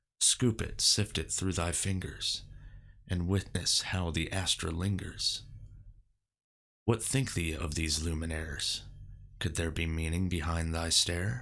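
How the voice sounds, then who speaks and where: A man puts on a raspy character voice with a very deep, low pitch, speaking at a fairly slow pace with long, frequent pauses. The recording is very clean, with a silent background. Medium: solo performance. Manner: archaic, solemn.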